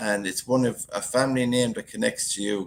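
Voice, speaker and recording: A man talks with a strong Galway accent. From Ireland, County Galway. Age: 60s. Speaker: YouTuber. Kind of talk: live stream chat. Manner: casual, chatty.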